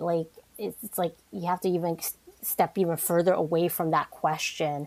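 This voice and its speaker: A woman speaks in a normal speaking voice, fairly low in pitch. Her pace is moderate and her intonation fairly even. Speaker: guest. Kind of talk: casual interview conversation.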